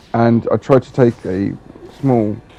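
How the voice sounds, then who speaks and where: Over background music, a man talks at a medium pitch with ordinary pitch variation. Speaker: gamer video creator. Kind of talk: casual rant with gameplay commentary. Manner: animated, frustrated.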